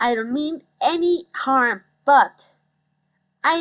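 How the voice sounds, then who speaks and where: Speaking with a Mexican accent, a woman uses lively intonation. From Mexico City, Mexico. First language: Spanish. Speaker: psychology student, commentary YouTuber. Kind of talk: rant commentary. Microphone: phone headphone mic, poor audio.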